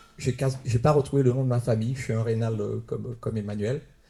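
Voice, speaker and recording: A man with a dark, mellow tone and a somewhat breathy quality speaks at a fairly quick pace, his medium pitch showing ordinary variation. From Martinique. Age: 60s. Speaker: audience member. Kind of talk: public discussion. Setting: round table with audience.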